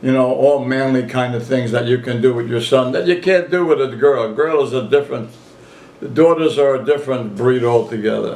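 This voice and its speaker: A man at medium pitch, fairly quick pace, noticeable background noise behind him. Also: ordinary pitch variation. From southern Italy. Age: 80s+. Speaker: retired grocer. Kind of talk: family interview storytelling.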